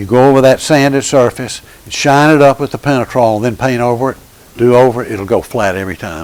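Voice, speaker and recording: A man talks at a moderate speed, with clear background noise behind him. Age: 70s. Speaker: woodworking instructor. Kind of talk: workshop demonstration. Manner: halting, many restarts.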